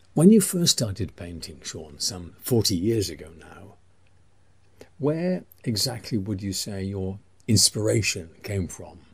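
A man's very slow, somewhat breathy voice with an English accent, fairly low in pitch, with ordinary pitch variation, big swings in loudness, and long, frequent pauses. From England. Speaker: interviewer. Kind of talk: interview.

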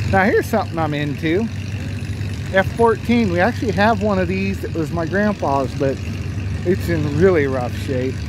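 Long, frequent pauses over noticeable background noise, with a dry sound and no echo. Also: moderate pace. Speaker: video creator filming a tractor show. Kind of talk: casual walk-around narration. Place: open country. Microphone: phone near.

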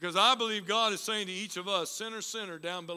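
Just a natural reading voice throughout

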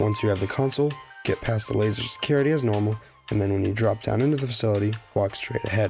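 With music in the background, a man talks at a very fast pace in an upbeat tone with ordinary pitch variation. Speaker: gaming YouTuber. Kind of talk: gaming tutorial narration. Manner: casual, upbeat.

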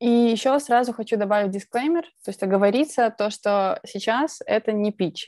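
Her pace is fairly slow, and a woman's pitch varies in an ordinary way. All around is a quiet background. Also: dry sound with no echo. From Belarus, Minsk; Belarus. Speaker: presentation skills speaker; speaker. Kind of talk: conference talk. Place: home room. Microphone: earbuds.

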